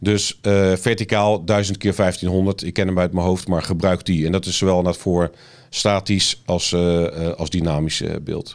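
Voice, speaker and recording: In a very clean recording with a silent background, a man talks fairly slowly. His pitch is very deep and low, and his intonation is monotone and flat. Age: 50s. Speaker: marketing agency founder. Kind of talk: interview. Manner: halting.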